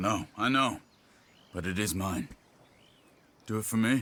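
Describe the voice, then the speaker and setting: Putting on a character voice, a man speaks at a fairly low pitch and moderate pace with ordinary pitch variation. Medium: video game.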